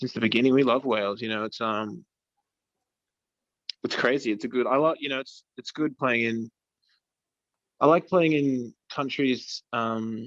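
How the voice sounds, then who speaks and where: A man with an Australian accent talks at a moderate pace in a relaxed tone at medium pitch with ordinary variation, the sound dry and close with no echo and the background quiet. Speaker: rock band musician. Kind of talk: casual interview chat. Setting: video call. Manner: relaxed, casual.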